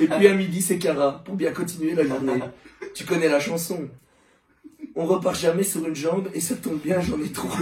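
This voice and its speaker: With a Charleroi accent, the speaker goes at a moderate pace with ordinary pitch variation and long, frequent pauses amid noticeable background noise. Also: man, high pitch for a man. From Belgium, Charleroi. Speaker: engineering student. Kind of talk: comic roast speech.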